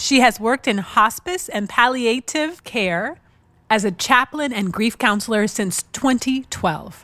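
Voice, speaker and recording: A woman with an American accent has an unremarkable speaking voice, fairly high in pitch with lively intonation. She goes at a fairly slow pace in a very clean recording with a silent background. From Seattle, Washington. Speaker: podcast host and spiritual teacher. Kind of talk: scripted intro narration.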